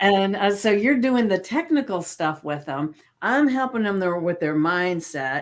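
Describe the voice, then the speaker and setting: A woman with a Southern US accent speaks at a moderate pace on a very clean recording with a silent background. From US South. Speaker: podcast host, hypnotist and coach. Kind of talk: interview podcast.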